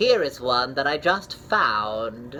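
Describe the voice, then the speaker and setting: Clear background noise sits behind a put-on character voice pitched low to middle. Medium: read story.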